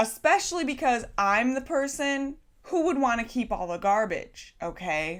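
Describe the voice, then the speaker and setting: A woman speaks in an animated tone with lively intonation. The recording is very clean, with a silent background. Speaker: YouTube vlogger. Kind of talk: casual vlog monologue. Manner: loud.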